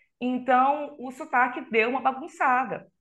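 A woman speaks in a high, bright, sharp voice. Her voice is raised and projected. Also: quiet background. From Brazil, Belém (Pará), raised in Catalão, Goiás. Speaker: extreme metal vocalist and psychologist. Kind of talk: casual interview.

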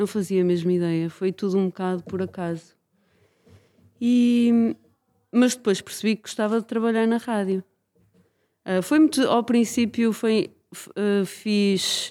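Long, frequent pauses break up a fairly slow delivery. The tone is dark and mellow, with ordinary pitch variation. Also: woman, medium pitch for a woman. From Portugal, Braga. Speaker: radio documentary maker. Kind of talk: casual interview.

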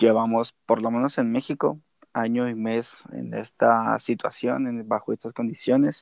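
A plain, everyday voice speaks at a fairly slow pace with fairly even intonation, the sound dry and close with no echo. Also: man, medium pitch for a man. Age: 20s. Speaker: podcast co-host. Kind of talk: casual chat. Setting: remote recording.

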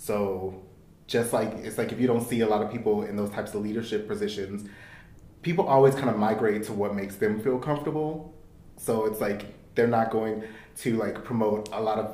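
A man speaks in a normal speaking voice at a fairly quick pace. His pitch is fairly low, and his intonation stays fairly even. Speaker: podcast co-host. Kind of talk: casual chat.

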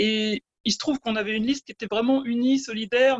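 A woman has an ordinary speaking voice, fairly high in pitch, with fairly even intonation. She talks at a fairly quick pace in a dry, close sound with no echo. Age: 40s. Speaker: unelected municipal election candidate. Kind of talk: remote interview. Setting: internet call.

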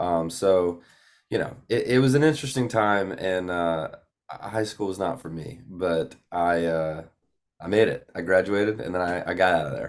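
On a very clean recording with a silent background, a man with a Southern US accent speaks at a moderate pace, his very deep, low voice showing ordinary pitch variation. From Georgia, US (Gainesville). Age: 20s. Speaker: country singer-songwriter. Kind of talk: casual interview chat.

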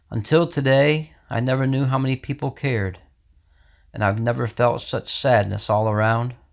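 In a very clean recording with a silent background, a man with an American accent uses a normal speaking voice at a medium pitch, a moderate pace and ordinary pitch variation. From New York state, US. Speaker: poet reading his own poem. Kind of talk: poetry reading, rhymed, sorrowful, read aloud.

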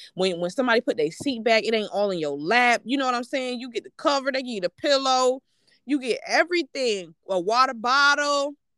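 A woman's high, bright, sharp voice at a fairly quick pace, with lively intonation, big swings in loudness, and a dry, close sound with no echo. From New York. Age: 20s. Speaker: business funding specialist. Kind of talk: casual chat.

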